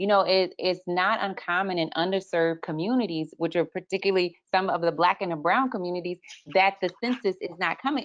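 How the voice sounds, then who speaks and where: Speaking in a normal speaking voice at a fairly quick pace with hardly any pauses, a woman keeps a medium pitch and ordinary pitch variation. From Texas. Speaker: lactation consultant, webinar co-host. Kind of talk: casual panel discussion.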